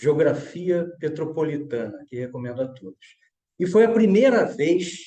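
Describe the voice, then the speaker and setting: The tone is dark and mellow, delivered at a fairly slow pace. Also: man. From Petrópolis, Rio de Janeiro state, Brazil. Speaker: architect. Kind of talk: panel discussion.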